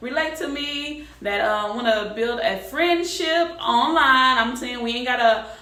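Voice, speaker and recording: There is audible room echo and noticeable background noise. A woman speaks with ordinary pitch variation. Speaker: beauty and lifestyle vlogger. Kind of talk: casual vlog talk to camera. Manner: fast; casual, colloquial.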